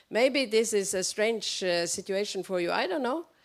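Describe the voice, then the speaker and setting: This woman speaks with a Norwegian accent at a medium pitch, her intonation lively. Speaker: audience member. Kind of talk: audience question. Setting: public event with audience. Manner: halting.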